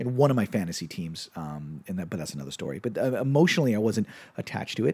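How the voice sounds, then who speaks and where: On a very clean recording with a silent background, a man with a fairly low pitch talks at a very fast pace in an animated, upbeat tone with lively intonation. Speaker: sports betting podcast host. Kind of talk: casual solo sports betting show, quick hits. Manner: animated, jokey, upbeat.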